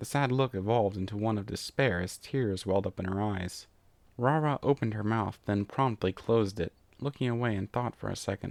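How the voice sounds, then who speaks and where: A man speaks at a fairly quick clip with a fairly low pitch and ordinary pitch variation, in an unremarkable speaking voice. The sound is dry and close with no echo, over a quiet background. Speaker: fan fiction reader. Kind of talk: story reading.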